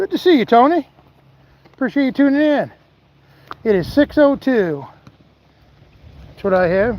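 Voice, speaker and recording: A man's extremely high-pitched voice with very wide pitch swings. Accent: American. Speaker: outdoors vlogger, angler. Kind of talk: live-stream chat. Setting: outdoors, fishing by a lake. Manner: casual, conversational.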